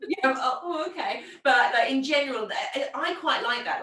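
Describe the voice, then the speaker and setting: A raised, projected voice at a fairly quick pace. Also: woman. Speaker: podcast host and micropigmentation trainer. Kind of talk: casual chat. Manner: fast.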